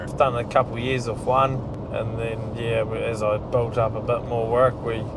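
A moderate pace amid noticeable background noise. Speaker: agricultural contractor. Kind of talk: interview answer. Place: car. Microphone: lapel.

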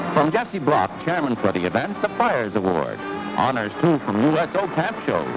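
Moderate-paced speech with clear music in the background. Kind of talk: newsreel narration. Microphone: old recording.

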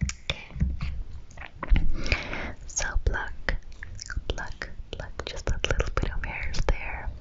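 A soft-spoken woman whispers. Her pace is very slow. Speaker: ASMR creator. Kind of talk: soft-spoken roleplay. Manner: soft close-mic whisper. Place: home room. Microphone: studio mic.

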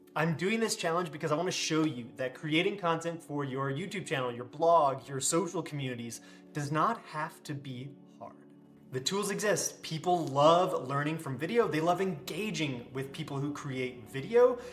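Faint music plays behind the man as he speaks at a moderate pace. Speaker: content creator. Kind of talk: casual vlog chat. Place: home room.

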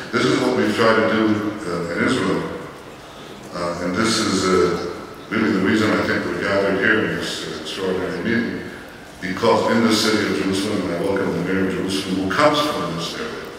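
There is strong room echo and light background noise. A man talks at a fairly quick pace with a fairly low pitch. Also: ordinary pitch variation. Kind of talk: keynote speech. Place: hall. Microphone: camera far.

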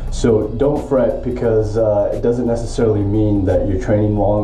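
A man talks at a moderate pace in a fairly low voice with ordinary pitch variation. Audible room echo and faint music in the background surround him. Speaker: triathlete vlogger. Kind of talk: casual vlog chat. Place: home room. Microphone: phone near.

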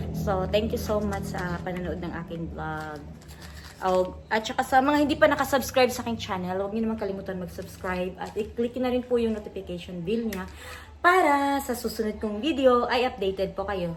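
Speaking with a Visayan accent, a woman uses a medium pitch, ordinary pitch variation and vocal fry. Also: fairly quick pace. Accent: Visayan accent in Tagalog. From Visayas, Philippines. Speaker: vlogger. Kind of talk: product review vlog. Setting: in a car on a highway. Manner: halting.

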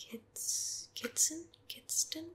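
Soft-spoken and at a very slow pace, a woman talks over noticeable background noise. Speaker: ASMR creator. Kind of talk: ASMR soft-spoken chat. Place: home room.

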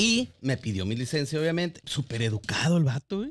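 On a very clean recording with a silent background, a man talks at a fairly quick pace, his fairly high pitch making very wide swings. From Guadalajara, Mexico. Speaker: podcast host. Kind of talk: casual chat.

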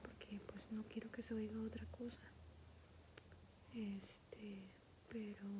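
A soft-spoken woman whispering, with long, frequent pauses and noticeable background noise. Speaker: ASMR creator. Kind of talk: ASMR coloring session, casual talk to camera. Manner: whispered, soft-spoken. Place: home room. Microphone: phone near.

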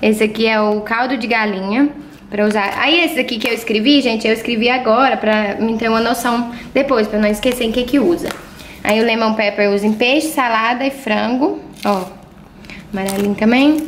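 Woman with a fairly high pitch and very even loudness, amid noticeable background noise and audible room echo. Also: ordinary pitch variation, moderate pace. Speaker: vlogger. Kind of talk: casual vlog.

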